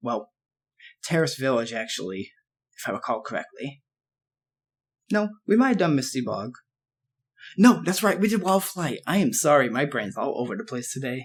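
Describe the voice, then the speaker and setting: A man's fairly high voice with vocal fry, very wide pitch swings, a moderate pace and long, frequent pauses. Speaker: gaming let's play creator. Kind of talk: gameplay commentary. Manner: halting, with filler words.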